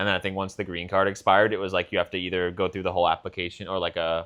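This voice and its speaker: With an American accent, a man speaks in a very deep, low pitch and a monotone, flat intonation. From US, Boston. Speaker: podcast co-host. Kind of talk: casual chat.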